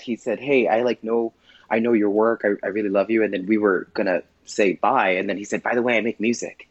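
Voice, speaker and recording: An ordinary speaking voice at a fairly quick pace, with a dry, close sound and no echo. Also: man. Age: 30s. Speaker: drag performer. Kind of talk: casual interview.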